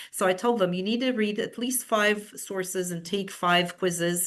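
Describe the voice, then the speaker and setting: Against a quiet background, a woman speaks fairly slowly at a medium pitch with ordinary pitch variation. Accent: Romanian. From Romania. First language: Romanian. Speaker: university professor. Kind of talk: webinar presentation. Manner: halting, many fillers and repetitions.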